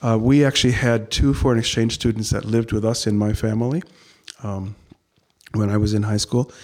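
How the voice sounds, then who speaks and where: At a fairly quick pace, a man talks in a normal speaking voice with a medium pitch and fairly even intonation. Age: 60s. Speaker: Lutheran pastor. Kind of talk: interview conversation.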